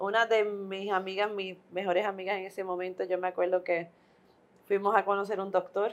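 Her medium-pitched voice stays monotone and flat as the woman speaks at a fairly quick pace. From Puerto Rico. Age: 40s. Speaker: midwife. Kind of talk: interview.

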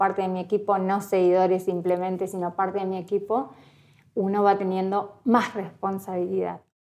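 Slow-ish and monotone, a woman talks at a medium pitch with a dark, mellow tone and flat intonation, at a fairly slow pace. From Argentina, Entre Ríos province. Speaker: pastry influencer. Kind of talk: interview.

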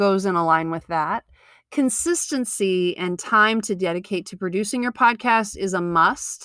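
Recorded very cleanly against a silent background, a woman with an unremarkable speaking voice talks at a fairly slow pace. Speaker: podcast host and yoga and Pilates teacher. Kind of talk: solo podcast monologue.

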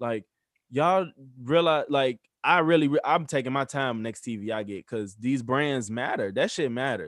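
With ordinary pitch variation, a man talks in a medium pitch. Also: moderate pace. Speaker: podcast co-host. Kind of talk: casual banter podcast chat. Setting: video call over Zoom. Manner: laughing, joking, casual.

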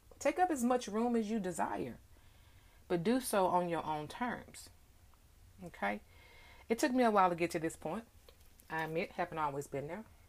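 A woman with a warm tone talks at a moderate pace, with very wide pitch swings and long, frequent pauses. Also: medium pitch for a woman. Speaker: podcast host. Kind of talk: solo podcast monologue, spiritual talk. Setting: recorded at home, in front of a mirror. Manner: warm, affectionate, conversational.

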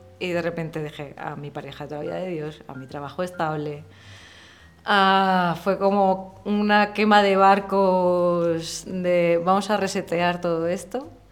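Audible room echo surrounds a woman with a fairly low pitch. She speaks at a fairly slow pace with fairly even intonation. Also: big swings in loudness. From Murcia, Spain. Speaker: illustrator. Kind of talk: casual interview.

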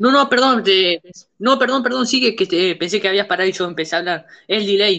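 A woman speaks at a very fast pace. Her medium-pitched voice has a bright, sharp tone. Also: ordinary pitch variation. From Uruguay, Montevideo. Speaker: podcast host. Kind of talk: casual chat.

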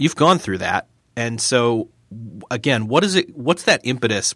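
Bright and sharp in tone, a man with a General American accent speaks at a fairly slow pace on a very clean recording with a silent background. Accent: general American, flat. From US New York state. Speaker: podcast host. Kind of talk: interview, casual conversation.

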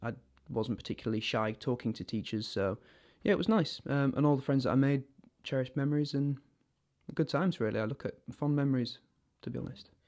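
Very fast speech in a northern English accent on a very clean recording with a silent background. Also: man. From northern England. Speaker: actor. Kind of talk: interview, personal storytelling.

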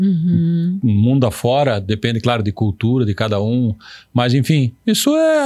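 A man talks at a medium pitch with very wide pitch swings. The recording is very clean, with a silent background. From Paraná, southern Brazil. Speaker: urologist. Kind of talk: interview. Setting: studio.

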